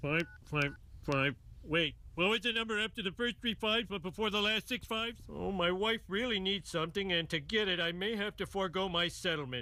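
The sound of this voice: Using a cartoonish character voice, a man talks fairly quickly at a high pitch.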